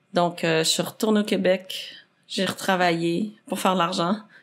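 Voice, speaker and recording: Over a silent background in a very clean recording, a woman with an unremarkable speaking voice talks at a fairly slow pace, her fairly low pitch held in fairly even intonation. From Quebec, Saint-Jérôme (Rive-Nord). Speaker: athlete and adventurer. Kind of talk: podcast interview.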